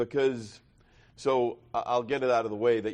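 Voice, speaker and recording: A fairly quick delivery in a New York accent. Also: man. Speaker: recovery meeting speaker. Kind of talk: testimony.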